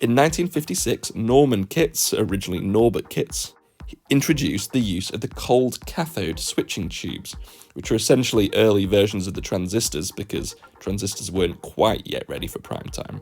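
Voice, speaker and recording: A man's fairly low voice with a British accent, vocal fry, very wide pitch swings, big swings in loudness and a moderate pace. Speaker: watch history YouTuber. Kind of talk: scripted narration.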